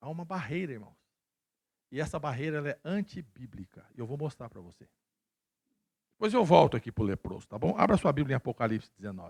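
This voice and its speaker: With vocal fry and a fairly high pitch, a man speaks in an animated tone at a fairly quick pace with long, frequent pauses, very wide pitch swings and big swings in loudness, in a dry, close sound with no echo. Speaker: pastor. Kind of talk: sermon. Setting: church.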